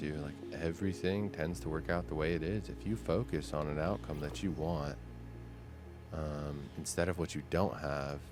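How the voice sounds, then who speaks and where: With music in the background, a man with a very deep, low voice talks at a moderate pace and ordinary pitch variation. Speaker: gaming content creator. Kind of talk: soft-spoken sleep gaming commentary. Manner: casual, chill.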